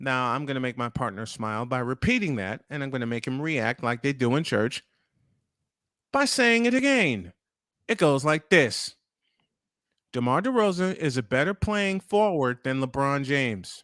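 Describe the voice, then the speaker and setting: A man with a New York accent speaks at a fairly high pitch and a moderate pace with very wide pitch swings and long, frequent pauses, his voice dry and close with no echo in a very clean recording against a silent background. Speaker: morning show host. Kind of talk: casual chat. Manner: animated.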